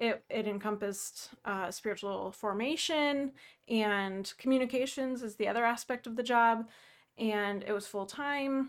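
Fairly slow and fairly high-pitched, a woman speaks with an unremarkable speaking voice and ordinary pitch variation. The recording is very clean, the background silent. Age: 30s. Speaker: pastor, podcast co-host. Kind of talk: casual chat.

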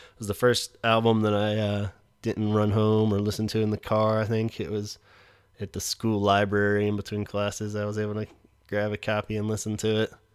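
In a very clean recording with a silent background, a man speaks fairly quickly in a fairly low, monotone voice with flat intonation. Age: 30s. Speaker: podcast host. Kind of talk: casual solo monologue. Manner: hesitant with many fillers.

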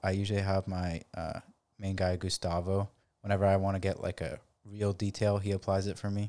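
On a very clean recording with a silent background, a man speaks in a fairly low voice, the sound dry and close with no echo. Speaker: car podcast co-host. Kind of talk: casual chat. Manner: fast.

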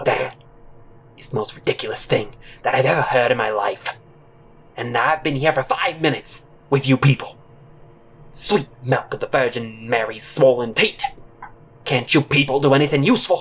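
A put-on character voice, gruff and loud, pitched low-to-middle, moving at a moderate pace with long, frequent pauses. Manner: gruff, loud, abusive.

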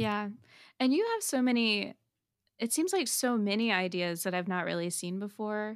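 In a very clean recording with a silent background, a woman speaks at a fairly high pitch with ordinary pitch variation in a normal speaking voice. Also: moderate pace. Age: 30s. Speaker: podcast host. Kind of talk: casual chat.

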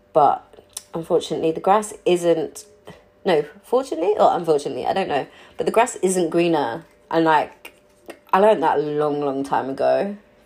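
A woman speaks at a fairly quick pace but leaves long, frequent pauses. Background noise is noticeable. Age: 30s. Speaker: personal podcaster. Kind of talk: personal monologue. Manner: halting.

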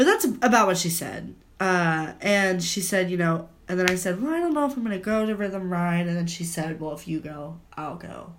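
Audible room echo surrounds a woman talking at a medium pitch. Her tone is animated. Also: ordinary pitch variation, moderate pace. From US Midwest. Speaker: podcast co-host, college student. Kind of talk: casual chat. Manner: animated, laughing often.

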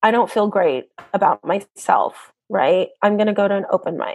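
Against a quiet background, a woman talks in an unremarkable speaking voice. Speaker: stand-up comedian. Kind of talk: casual interview.

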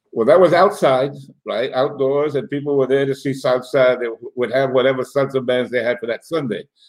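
With a normal speaking voice, a man talks at a fairly quick pace, his pitch fairly high and his intonation fairly even. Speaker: podcast host. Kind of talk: casual chat interview. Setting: video call.

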